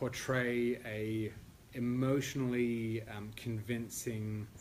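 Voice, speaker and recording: In an Australian accent, a man speaks with monotone, flat intonation amid audible room echo and noticeable background noise. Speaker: classical pianist. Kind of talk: lecture. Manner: hesitant, many fillers.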